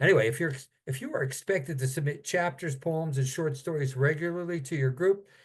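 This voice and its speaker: Somewhat breathy, this man's voice shows ordinary pitch variation. He talks at a fairly quick pace. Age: 70s. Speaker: author and critique group teacher. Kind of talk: casual instructional talk on video call. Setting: video call.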